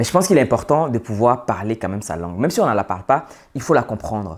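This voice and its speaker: A man talks very fast at a fairly low pitch. The recording is very clean, with a silent background. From Côte d'Ivoire (urban, Senufo family). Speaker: social and business commentator. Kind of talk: monologue to camera.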